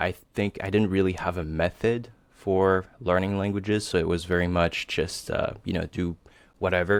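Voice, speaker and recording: A man with a very deep, low voice speaks at a moderate pace and with fairly even intonation on a very clean recording with a silent background. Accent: French. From Tahiti, French Polynesia. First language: French. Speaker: software developer, language learner. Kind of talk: interview. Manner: hesitant, many fillers.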